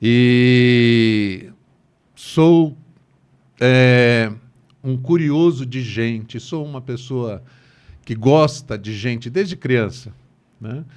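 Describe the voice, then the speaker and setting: A man speaking at a very slow pace, with long, frequent pauses and big swings in loudness. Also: medium pitch for a man, ordinary pitch variation. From Brazil, Santos (São Paulo state). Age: 60s. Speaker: bank manager. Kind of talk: interview conversation.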